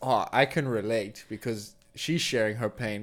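Music plays behind a man who talks at a middling tempo. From South Africa. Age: 30s. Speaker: stand-up comedian. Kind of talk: casual chat. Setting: host's apartment.

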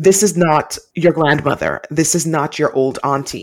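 This woman's pitch is very deep and low. She talks at a fairly slow pace with lively intonation. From Jamaica. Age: 40s. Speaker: boutique owner and podcast host. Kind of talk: interview conversation.

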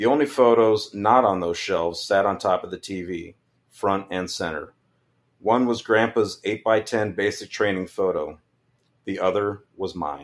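A man with an unremarkable speaking voice and an American accent speaks at a fairly slow pace, fairly low in pitch with ordinary variation. The recording is very clean, with a silent background. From California, San Joaquin Valley. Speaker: army veteran and funeral director. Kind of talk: reading aloud own memoir.

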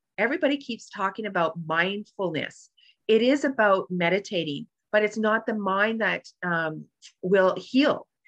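A woman's ordinary speaking voice at medium pitch, with lively intonation, a moderate pace and a quiet background. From Canada. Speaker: author and transformational coach. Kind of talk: interview.

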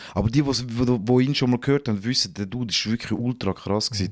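Recorded very cleanly against a silent background, a man speaks at a fairly quick pace. He has an ordinary speaking voice with ordinary pitch variation. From Switzerland, St. Gallen region. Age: 30s. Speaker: rapper and TV host. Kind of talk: casual chat.

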